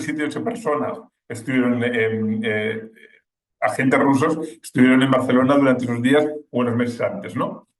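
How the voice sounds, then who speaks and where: A man talks at a moderate pace in a medium pitch, with ordinary pitch variation. He leaves long, frequent pauses, and audible room echo surrounds his voice. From Spain. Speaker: war correspondent. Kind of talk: webinar talk. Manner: halting, many fillers and restarts.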